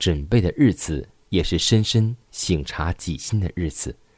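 On a dry, close recording with no echo, a man talks at a very slow pace in a very deep, low voice. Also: very clean recording, silent background. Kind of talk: devotional reading aloud.

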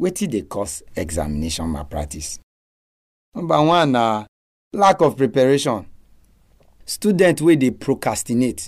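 With long, frequent pauses and very wide pitch swings, a man at medium pitch speaks at a fairly slow pace on a very clean recording with a silent background. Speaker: radio speaker on exams advice. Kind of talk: talk giving advice.

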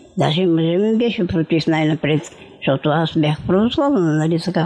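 Against noticeable background noise, a woman talks at a moderate speed. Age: 80s+. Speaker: centenarian interviewee. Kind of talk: casual interview, life story.

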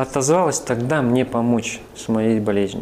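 Moderate-paced speech from a man, medium in pitch, with ordinary pitch variation. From northern Kazakhstan and Siberia. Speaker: church minister, former army officer. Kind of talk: testimony.

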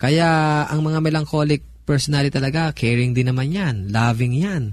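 A man's fairly high, somewhat breathy voice at a moderate pace, with fairly even intonation. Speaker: pastor. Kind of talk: radio talk on family life.

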